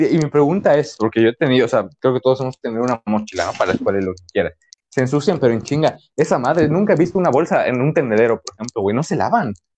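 Speaking at a very fast pace with lively intonation, a man with a Mexican accent and a fairly high pitch comes through in a dry, close sound with no echo. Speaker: podcast host. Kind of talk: casual chat.

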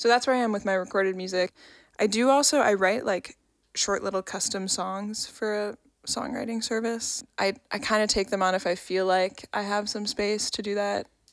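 A woman with an unremarkable speaking voice talks at a moderate pace and medium pitch, with fairly even intonation, on a very clean recording with a silent background. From New York. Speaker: podcast co-host and musician. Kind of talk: casual chat.

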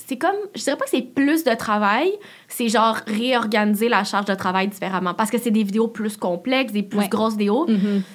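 A woman speaks at a fairly quick pace with a fairly high pitch. Her voice is somewhat breathy, with ordinary pitch variation. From Quebec, Laval. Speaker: YouTuber and content creator. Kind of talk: casual interview chat.

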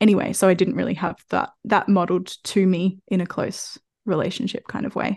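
A woman at a medium pitch with an Australian accent, ordinary pitch variation and a fairly quick pace against a quiet background. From Australia, country Victoria. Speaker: podcast host and mother. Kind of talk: casual interview chat.

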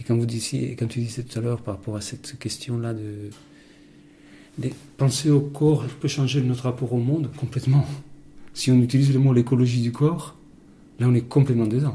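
Speaking at a moderate pace with long, frequent pauses, a man uses a medium-pitched, dark, mellow, somewhat breathy voice with fairly even intonation. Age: 50s. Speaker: interviewee. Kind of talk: interview.

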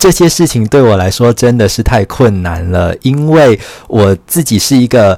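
The voice has lively intonation and a dark, mellow tone. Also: man, medium pitch for a man. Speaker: podcast host and writer. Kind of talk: solo podcast monologue. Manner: slow.

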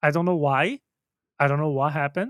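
In a very clean recording with a silent background, a man with a fairly high voice talks at a very fast pace. The sound is dry and close, with no echo. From Brazil. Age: 30s. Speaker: content creator and streamer. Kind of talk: casual chat.

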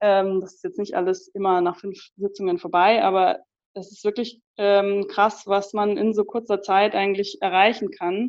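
Using a plain, everyday voice, a woman speaks at a medium pitch and moderate pace with fairly even intonation and big swings in loudness. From Munich, Bavaria. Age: 20s. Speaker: psychologist and career coach. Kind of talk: casual interview.

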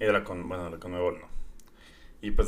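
The man's tone is bright and sharp, and his intonation fairly even. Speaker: football podcast host. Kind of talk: casual chat.

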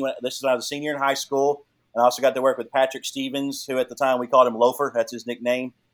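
A man with a fairly high voice speaks very fast in a flat monotone. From Texas (moved from Canada as teen). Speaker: athletic trainer for a pro hockey team. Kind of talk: casual podcast interview.

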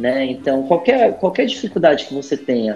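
His tone comes across as dark and mellow. The man's voice sits fairly high. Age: 40s. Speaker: HR director. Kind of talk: casual interview.

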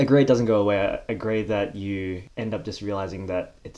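With an Australian accent, a man speaks at a fairly low pitch with ordinary pitch variation and a dark, mellow tone. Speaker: corporate professional. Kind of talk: casual chat.

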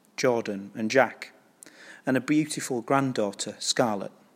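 On a very clean recording with a silent background, a man talks in a plain, everyday voice. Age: 40s. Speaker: curate. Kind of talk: sermon. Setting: church.

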